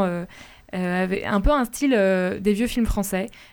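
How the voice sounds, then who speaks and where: Over music in the background, a woman with a medium pitch talks at a very slow pace. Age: 20s. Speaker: radio panelist. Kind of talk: casual chat.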